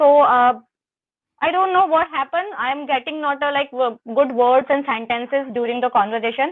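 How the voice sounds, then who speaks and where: An Indian accent marks this woman's speech. Her pitch is high, with ordinary pitch variation. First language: Hindi. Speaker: English learner. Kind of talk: conversation practice. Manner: fast; halting.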